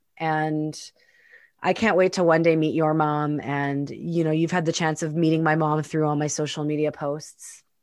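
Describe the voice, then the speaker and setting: A woman speaks at a moderate pace in a very deep, low pitch with monotone, flat intonation. The background is quiet. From Winnipeg, Canada. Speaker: podcast co-host, entrepreneur and coach. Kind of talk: casual conversational podcast chat.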